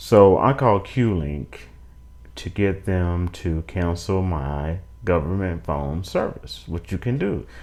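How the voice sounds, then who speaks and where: With an American accent, a man speaks at a very slow pace in a very deep, low pitch and with lively intonation. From United States. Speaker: YouTuber. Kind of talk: casual monologue review. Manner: halting, with fillers and restarts.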